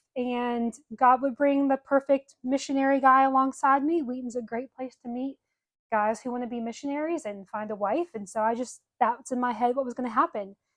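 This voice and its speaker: In a Southern US accent, a speaker talks at a fairly quick pace with fairly even intonation, and the sound is dry and close with no echo. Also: woman, high pitch for a woman. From US South, Birmingham, Alabama. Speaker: podcast co-host. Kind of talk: casual chat.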